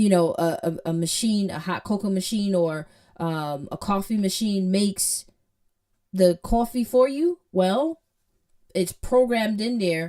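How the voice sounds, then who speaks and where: A woman with a Jamaican accent speaks at a medium pitch and a fairly slow pace, her dark, mellow tone carried by lively intonation. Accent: Jamaican, drops H sounds. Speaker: programming teacher. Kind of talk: tutorial. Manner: casual, conversational with fillers.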